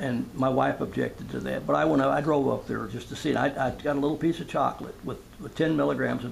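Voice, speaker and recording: Over audible room echo, a man with an American accent talks at a fairly quick pace. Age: 70s. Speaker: retired construction worker, audience member. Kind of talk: town hall question. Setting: town hall at community center.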